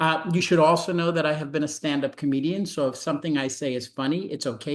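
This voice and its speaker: In a New York accent, a man talks at a very fast pace with a fairly high pitch and ordinary pitch variation. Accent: New York (Brooklyn) American. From New York City (Brooklyn). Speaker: medical education professor. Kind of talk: webinar presentation.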